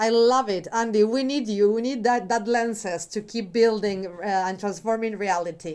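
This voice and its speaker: A woman speaks in a normal speaking voice, fairly high in pitch, at a moderate pace. She barely pauses, and her intonation stays fairly even. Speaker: podcast co-host. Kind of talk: casual interview conversation.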